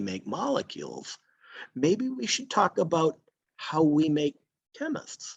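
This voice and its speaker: Speaking fairly slowly with a Boston accent, a man uses a fairly high pitch that swings very widely, recorded with a dry, close sound and no echo. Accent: Boston American. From Boston area, Massachusetts. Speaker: green chemistry scientist. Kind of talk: lecture.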